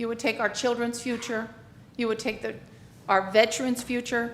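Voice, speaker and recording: A woman's fairly high voice with monotone, flat intonation, amid audible room echo and noticeable background noise. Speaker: public commenter, retired teacher. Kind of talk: public comment at council meeting. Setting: city council meeting. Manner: loud.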